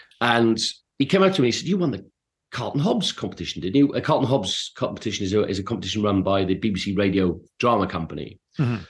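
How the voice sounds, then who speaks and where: Very fast speech with very wide pitch swings, in an English accent, over a quiet background. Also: man. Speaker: actor. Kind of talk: interview.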